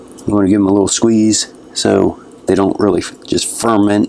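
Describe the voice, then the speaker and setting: Behind noticeable background noise, a man speaks in a relaxed tone. His intonation stays flat and monotone. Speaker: gardening youtuber. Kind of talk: casual tutorial vlog. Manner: relaxed, casual.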